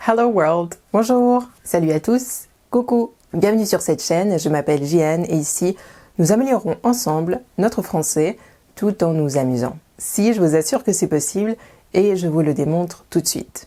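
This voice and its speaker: Speaking at a fairly slow pace, a woman uses a fairly low pitch, a dark, mellow tone, and lively intonation. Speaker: French language teacher. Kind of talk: educational video. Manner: clear, didactic.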